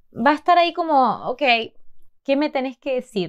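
Over a quiet background, a woman speaks in an animated tone with very wide pitch swings. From Argentina. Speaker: Spanish teacher, video host. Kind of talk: tutorial. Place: home room.

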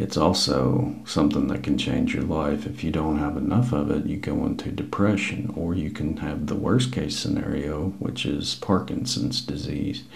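Soft-spoken, a man talks with very wide pitch swings. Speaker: ASMR creator. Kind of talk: ASMR science talk. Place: home room. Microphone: lapel.

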